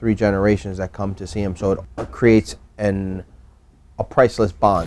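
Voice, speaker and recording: Loudness swings widely as a man with an ordinary speaking voice talks at a moderate pace, his fairly low pitch showing ordinary variation. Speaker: shoemaker's child. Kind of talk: interview answer. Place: shop. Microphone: lapel.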